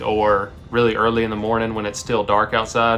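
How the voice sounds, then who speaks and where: Music plays in the background as a man speaks with an American accent. His pitch is medium and his pace moderate. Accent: Southern US, comes out on some words. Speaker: vlogger. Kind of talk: casual chat.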